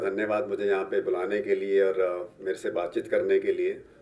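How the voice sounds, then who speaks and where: A man talks at a moderate pace. Noticeable background noise is heard. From Rajasthan, Dholpur (Chambal region). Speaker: police superintendent. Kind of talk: interview podcast. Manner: hesitant fillers.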